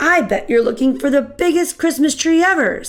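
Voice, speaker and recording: This is a put-on character voice, high and raspy. It moves at a moderate pace. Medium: read story.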